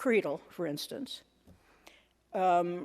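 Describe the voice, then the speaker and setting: With lively intonation, a woman speaks in an American accent at a medium pitch. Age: 70s. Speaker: church speaker. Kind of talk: sermon. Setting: church sanctuary. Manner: halting, many fillers.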